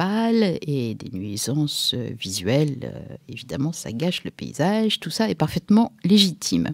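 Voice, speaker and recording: Against a quiet background, a woman with a very deep, low pitch speaks at a fairly slow pace with very wide pitch swings, in a dry sound with no echo. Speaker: radio show host from an activist collective. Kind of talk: radio commentary. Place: studio.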